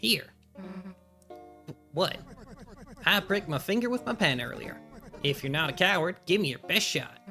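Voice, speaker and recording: Using a put-on character voice pitched high, a man talks at a moderate pace with long, frequent pauses while faint music plays in the background. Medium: virtual streamer. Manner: gruff, teasing.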